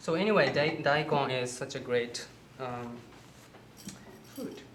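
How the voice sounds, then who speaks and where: Moderately paced speech with long, frequent pauses over noticeable background noise. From Japan. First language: Japanese. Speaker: holistic health counselor and cooking instructor. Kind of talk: cooking demonstration. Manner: halting.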